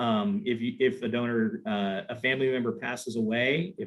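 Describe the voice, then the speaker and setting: An ordinary speaking voice from a man at medium pitch, with lively intonation. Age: 50s. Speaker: nonprofit planned giving fundraiser. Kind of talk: webinar panel discussion.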